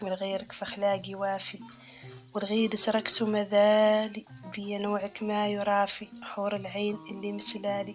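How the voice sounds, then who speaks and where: Music plays in the background. A woman speaks over it in a monotone, flat intonation. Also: medium pitch for a woman, fairly slow pace, big swings in loudness. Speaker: poetry reciter. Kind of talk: poetry reading.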